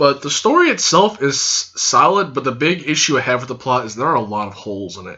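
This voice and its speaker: A man's fairly high voice at a fairly quick pace, with very wide pitch swings, big swings in loudness, hardly any pauses, and noticeable background noise. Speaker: youtuber, anime reviewer. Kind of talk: casual video review. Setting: recording to camera. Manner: hyper and loud.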